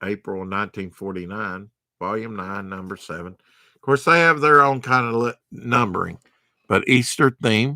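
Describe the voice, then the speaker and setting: In a Southern US accent, a man with a fairly low pitch and bright, sharp tone uses lively intonation at a moderate pace against a quiet background. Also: big swings in loudness. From US South. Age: 50s. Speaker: comic book collector streamer; comic collector streamer. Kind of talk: live stream show-and-tell. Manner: casual, halting with fillers. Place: home room. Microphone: webcam.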